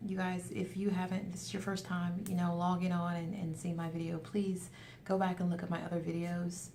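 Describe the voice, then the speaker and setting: A woman speaks at a fairly low pitch with a dark, mellow, somewhat breathy tone. Her intonation is monotone and flat, and the room echo is audible. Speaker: weight loss vlogger. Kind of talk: casual video update. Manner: fast.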